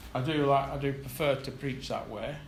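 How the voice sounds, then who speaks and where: A man speaks over noticeable background noise, with audible echo from the room. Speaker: lay preacher. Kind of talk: sermon. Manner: soft-spoken; halting.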